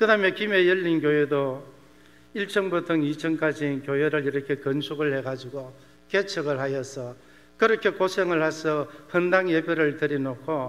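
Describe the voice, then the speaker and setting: This man has an unremarkable speaking voice, fairly high in pitch. He talks at a moderate pace with lively intonation. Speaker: missionary pastor. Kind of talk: sermon.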